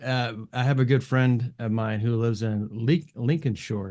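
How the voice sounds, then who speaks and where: This man has a Californian accent and a medium pitch. He talks at a fairly slow pace with fairly even intonation. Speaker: music production channel host, interviewer. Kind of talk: casual interview. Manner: hesitant, many fillers.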